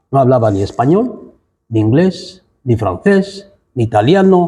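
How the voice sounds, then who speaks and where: A man with an Equatorial Guinean accent, medium pitch, a dark, mellow tone, very wide pitch swings and a very slow pace. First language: Bubi (speaking Spanish). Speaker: writer. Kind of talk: panel discussion.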